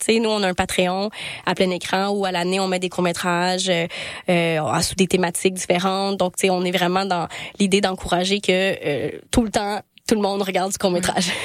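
A woman speaks in a Quebec accent at a medium pitch. Her pace is moderate and her intonation fairly even. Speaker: podcast host and festival programmer. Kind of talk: casual interview chat.

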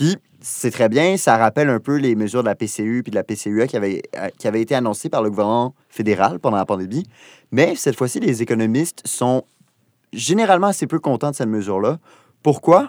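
A man with an unremarkable speaking voice and lively intonation is heard in a dry, close sound with no echo, on a very clean recording with a silent background. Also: medium pitch for a man, fairly quick pace. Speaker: podcast co-host. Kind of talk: casual chat. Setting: studio.

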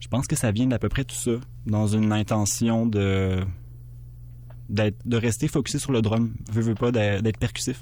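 The voice has a dark, mellow tone and a Quebec accent, with fairly even intonation. It moves at a moderate pace with long, frequent pauses. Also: man, fairly low pitch for a man. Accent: Québécois French. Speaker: musician. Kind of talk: interview. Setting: studio. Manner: halting.

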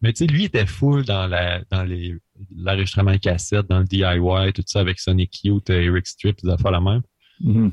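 A man speaks at a moderate pace in a very deep, low voice that is somewhat breathy. His loudness stays very even, his intonation is fairly even, and the background is quiet. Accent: Quebec. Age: 20s. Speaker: rock musician. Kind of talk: casual radio interview.

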